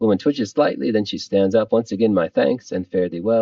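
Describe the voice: The pitch shows ordinary variation. What is heard is plain reading aloud.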